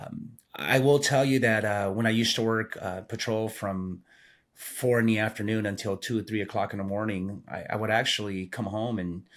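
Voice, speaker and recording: A man with a Spanish accent at fairly low pitch, fairly even intonation, and a moderate pace, on a very clean recording with a silent background. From Peru (Lima). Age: 50s. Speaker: retired police sergeant. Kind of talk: podcast interview. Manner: halting, many fillers and repetitions.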